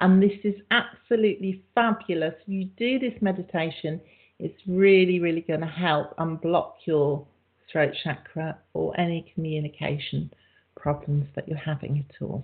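A woman with an English accent at a moderate pace, with ordinary pitch variation. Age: 50s. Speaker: radio host. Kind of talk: casual chat.

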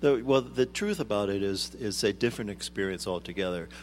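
A man in an ordinary speaking voice at a fairly quick pace, on a very clean recording with a silent background. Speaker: arts administrator. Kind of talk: interview. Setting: studio.

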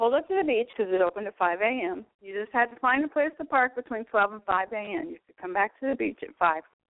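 A fairly high-pitched woman at a very fast pace, with hardly any pauses, lively intonation and big swings in loudness. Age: 60s. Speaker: holistic nurse and card reader. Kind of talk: casual chat.

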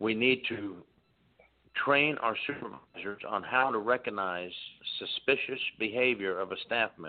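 Normal pitch movement and a medium speed mark a plain, everyday voice. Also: man, medium pitch for a man. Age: 50s. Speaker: former prison inspector and author. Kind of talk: radio interview.

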